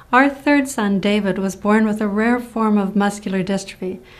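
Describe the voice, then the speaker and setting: A woman speaks at a moderate pace with ordinary pitch variation. The room echo is audible. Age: 60s. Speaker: motivational speaker and nurse. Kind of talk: scripted presentation.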